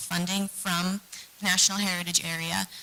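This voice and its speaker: A soft-spoken woman with a medium pitch at a moderate pace. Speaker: historic preservation nonprofit staff presenting grants. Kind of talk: meeting presentation.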